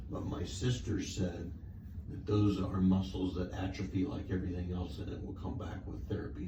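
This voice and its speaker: A man with a very deep, low voice keeps his intonation fairly even at a moderate pace. Room echo is audible, and background noise is noticeable. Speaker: patient. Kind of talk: casual chat.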